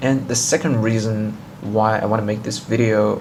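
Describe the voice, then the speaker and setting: Noticeable background noise and audible room echo accompany a man whose intonation stays fairly even. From China. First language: Chinese. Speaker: tech YouTuber. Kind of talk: casual vlog intro; tutorial. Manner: halting, with fillers.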